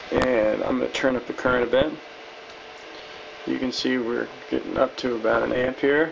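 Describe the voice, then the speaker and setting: A man at a moderate pace with fairly even intonation, over light background noise. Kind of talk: tutorial. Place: workshop.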